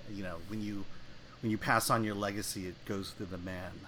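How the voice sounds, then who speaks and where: With an American accent and a fairly low pitch, a man speaks amid audible room echo. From US. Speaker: film critic and editor. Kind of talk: casual chat.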